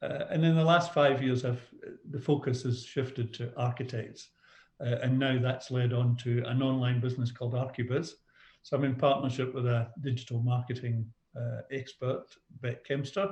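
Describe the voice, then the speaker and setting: A man with a Scottish accent sounds somewhat breathy, his intonation fairly even. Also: medium pitch for a man, moderate pace. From Scotland. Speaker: business coach. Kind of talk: podcast interview.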